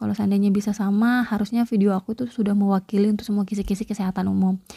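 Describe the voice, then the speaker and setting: Soft-spoken and somewhat breathy, the dark, mellow voice holds a flat monotone in dry, close sound with no echo. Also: woman. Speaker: nursing exam tutor. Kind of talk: tutorial. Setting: home at night.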